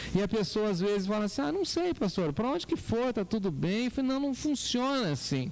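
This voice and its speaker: This voice moves at a fairly quick pace with hardly any pauses, very even loudness and very wide pitch swings. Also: man, high pitch for a man. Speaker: pastor. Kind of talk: sermon.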